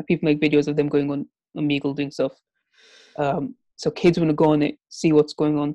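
Against a quiet background, a woman with a British accent speaks at a very fast pace in a very deep, low pitch, with a dark, mellow tone and a dry, close sound with no echo. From England. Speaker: podcast co-host. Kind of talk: casual chat. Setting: video call.

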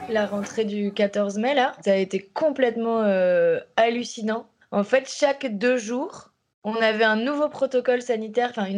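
Delivery is at a moderate speed. The intonation is fairly even. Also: woman. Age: 30s. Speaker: primary school teacher. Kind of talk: documentary interview testimony.

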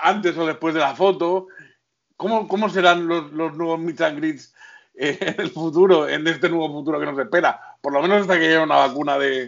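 A man with an ordinary speaking voice talks at a moderate pace, his pitch fairly high and his intonation fairly even. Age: 40s. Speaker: podcast co-host. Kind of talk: casual chat.

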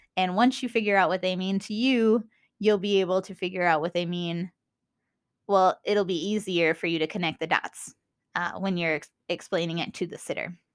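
An enthusiastic woman's voice in a Minnesotan accent, medium in pitch and moderate in pace, on a very clean recording with a silent background. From US Minnesota. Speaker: podcast host. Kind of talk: solo podcast monologue, educational chat. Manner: casual, enthusiastic.

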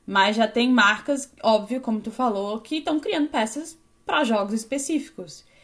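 This woman's voice sits at a fairly high pitch, and she speaks at a moderate pace. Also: lively intonation. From southern Brazil, Florianópolis. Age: 20s. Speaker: 3D fashion designer. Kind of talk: interview.

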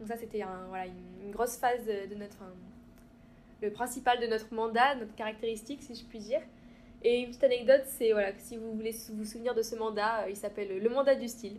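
This woman talks at a very fast pace, her pitch fairly high. Her loudness swings widely from moment to moment. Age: 20s. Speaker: student. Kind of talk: interview.

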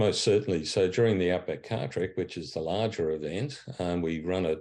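Against a quiet background, a man with an Australian accent speaks at a moderate pace in a dark, mellow tone. His very deep, low pitch holds fairly even intonation. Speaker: charity chief executive. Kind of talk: interview.

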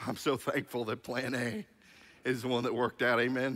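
Using a raspy, put-on character voice, a man talks at a fairly quick pace and a medium pitch. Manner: preacherly, fervent cadence.

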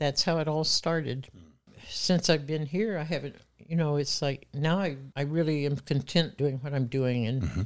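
The speaker has an American accent and ordinary pitch variation at a moderate pace. The recording is very clean, with a silent background. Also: woman, very deep, low pitch for a woman. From Muskogee, Oklahoma. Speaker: opera singer and voice teacher. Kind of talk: casual chat.

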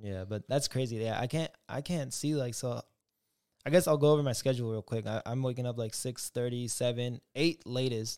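A man with an ordinary speaking voice talks at medium pitch and a moderate pace, with ordinary pitch variation. The sound is dry and close with no echo, in a very clean recording with a silent background. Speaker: podcast host, streamer, student. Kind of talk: casual chat. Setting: livestream.

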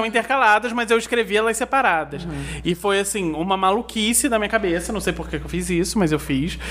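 Noticeable background noise runs through the clip. The pace is fairly quick. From Nova Friburgo, Rio de Janeiro state, Brazil. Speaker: novelist. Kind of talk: casual interview.

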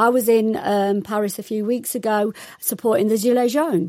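A woman with an East Midlands accent speaks at a fairly high pitch on a very clean recording with a silent background. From East Midlands, England. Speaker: sociology lecturer. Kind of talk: radio panel discussion.

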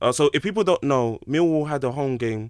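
On a very clean recording with a silent background and a dry, close sound with no echo, a man uses a normal speaking voice at a moderate pace with ordinary pitch variation. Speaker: podcast host. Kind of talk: casual chat. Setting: studio.

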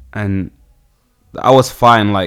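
A man with a London accent talks at a fairly low pitch with ordinary pitch variation. The recording is very clean, with a silent background. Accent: London, multicultural London English. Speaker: singer-songwriter and producer. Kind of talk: casual interview.

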